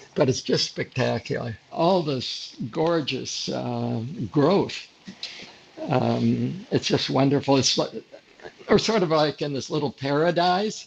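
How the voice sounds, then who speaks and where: Amid noticeable background noise, a man with an American accent speaks at a very slow pace. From upstate New York. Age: 90s. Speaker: retired photographer. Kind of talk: interview. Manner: halting, many fillers.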